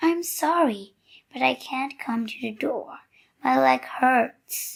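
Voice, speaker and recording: Putting on a raspy character voice, a woman talks at a fairly slow pace and a high pitch, with big swings in loudness. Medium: read story.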